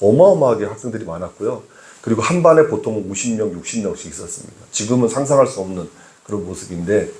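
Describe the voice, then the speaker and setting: At a moderate pace, a man speaks somewhat breathily, his pitch swinging very widely. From Seoul, childhood in Gangwon (Taebaek) until age 9. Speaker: pastor. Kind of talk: sermon. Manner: hesitant with frequent fillers.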